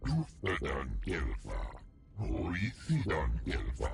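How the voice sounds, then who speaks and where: A man uses a put-on character voice at a very slow pace, with slight echo and clear background noise. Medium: video game.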